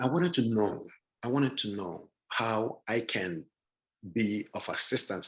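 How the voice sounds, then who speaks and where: A man's medium-pitched voice, bright and sharp in tone, with ordinary pitch variation. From Nigeria. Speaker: panelist. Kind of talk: panel talk. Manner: halting.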